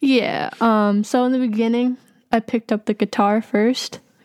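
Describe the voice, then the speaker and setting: With an American accent and an unremarkable speaking voice, the speaker talks at a fairly slow pace and with fairly even intonation, on a very clean recording with a silent background. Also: woman, dry, close sound with no echo. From Massachusetts, Boston area. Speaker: hip-hop artist and producer. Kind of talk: casual interview.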